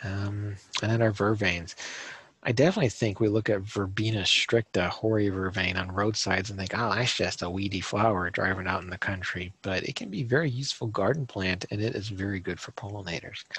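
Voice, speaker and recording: With a slight Southern US accent, a man speaks at a fairly quick pace in a fairly low pitch, his intonation fairly even. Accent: slight Southern on some words. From Minnesota, US Midwest. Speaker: garden designer and speaker. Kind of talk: presentation. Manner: casual, with frequent fillers.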